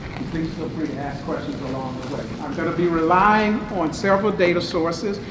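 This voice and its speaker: Over noticeable background noise and audible room echo, a man talks at a fairly quick pace in a high, animated voice with ordinary pitch variation. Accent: American. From eastern North Carolina. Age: 60s. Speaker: professor. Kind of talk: lecture. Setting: meeting room with audience.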